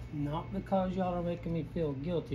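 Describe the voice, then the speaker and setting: Room echo is audible in this recording. A man speaks in a Southern US accent. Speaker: painter. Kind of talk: painting tutorial. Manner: casual, rambling with many false starts.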